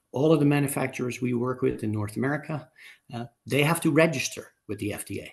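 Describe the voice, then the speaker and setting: At a fairly quick pace, a man speaks with lively intonation in a somewhat breathy voice. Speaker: amenity supplier executive. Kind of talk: webinar panel talk. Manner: halting, many fillers.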